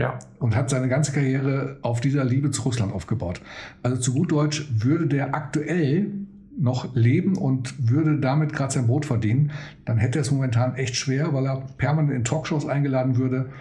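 A man talks at a moderate pace with a medium pitch. His pitch varies in an ordinary way, with audible room echo around him. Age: 50s. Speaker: DJ and podcast host. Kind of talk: casual chat. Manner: animated.

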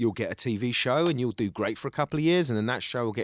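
On a very clean recording with a silent background, the speaker talks at a very fast pace in a Cockney accent with ordinary pitch variation. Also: man, dry, close sound with no echo. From East London, England. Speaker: actor and writer. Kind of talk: casual chat. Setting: studio.

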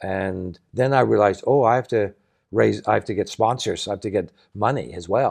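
In a Canadian accent, a man speaks at a moderate pace with a fairly low pitch and vocal fry against a quiet background. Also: ordinary pitch variation. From Canada, Saskatchewan. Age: 60s. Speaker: nonprofit founder and sailor. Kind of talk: interview conversation. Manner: halting, many false starts.

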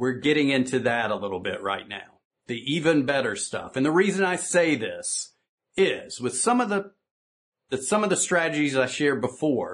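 Lively intonation and an animated tone mark this man's speech in a Southern US accent. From US South. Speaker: business coach. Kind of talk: conference talk.

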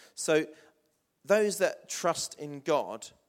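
A man speaks in a southern English accent with lively intonation. The recording is very clean, with a silent background. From southern England, Hampshire (New Forest). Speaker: pastor. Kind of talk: sermon. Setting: church.

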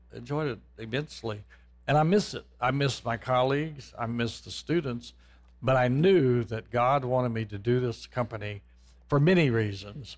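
Recorded very cleanly with a silent background, a man uses an ordinary speaking voice at a medium pitch and moderate pace, with ordinary pitch variation. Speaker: property developer and former music professor. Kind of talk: testimony in interview. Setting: studio.

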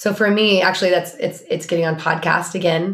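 Her voice is fairly low and somewhat breathy as a woman talks at a moderate pace with fairly even intonation. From Oregon. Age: 40s. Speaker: business strategist. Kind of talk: casual chat.

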